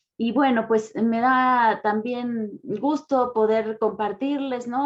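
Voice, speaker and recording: Her pace is very slow, and her tone is calm. This woman has a fairly high pitch and fairly even intonation. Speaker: philosophy professor. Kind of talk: lecture.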